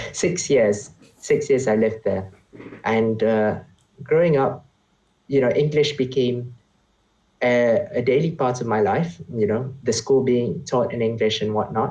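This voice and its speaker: A man with a Malaysian accent speaks at a fairly slow pace, leaving long, frequent pauses. His medium-pitched voice has a dark, mellow, somewhat breathy tone and ordinary pitch variation. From Malaysia, grew up partly in Oman. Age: 20s. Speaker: economics graduate, consultant. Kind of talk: casual interview conversation. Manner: halting, with frequent repetitions.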